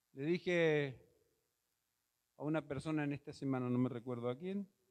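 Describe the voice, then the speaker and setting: An unremarkable speaking voice, moderate in speed, its pitch varying in an ordinary way. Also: man, fairly high pitch for a man. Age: 60s. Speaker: pastor. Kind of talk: sermon. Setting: church auditorium.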